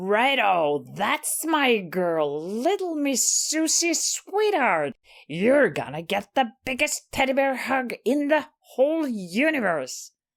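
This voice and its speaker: Loud and in a put-on character voice, the speaker moves at a fairly slow pace with very wide pitch swings and hardly any pauses. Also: woman, high pitch for a woman. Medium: read story. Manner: teasing, condescending, overly familiar; loud, laughing.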